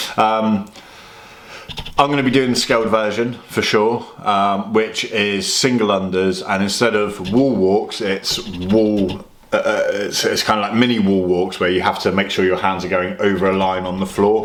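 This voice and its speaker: A man talks at a moderate pace in a fairly low pitch, with fairly even intonation. Noticeable background noise and audible room echo come through. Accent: British. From UK. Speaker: fitness vlogger. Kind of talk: casual vlog.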